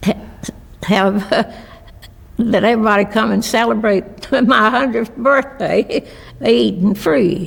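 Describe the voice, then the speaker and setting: A woman speaks at a fairly high pitch with very even loudness. Long, frequent pauses break her speech over noticeable background noise. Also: ordinary pitch variation. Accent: Appalachian. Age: 90s. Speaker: restaurant owner. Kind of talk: interview. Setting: video interview. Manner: halting.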